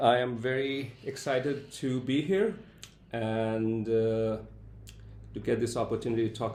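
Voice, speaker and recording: Moderate pace, fairly even intonation and audible room echo. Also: man. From India, Calcutta. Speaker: professor. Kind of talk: interview.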